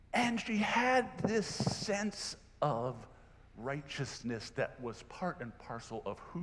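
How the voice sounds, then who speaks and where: A man speaks with very wide pitch swings. There is noticeable background noise behind him. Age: 60s. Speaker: lay preacher. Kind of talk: sermon. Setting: church. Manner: conversational.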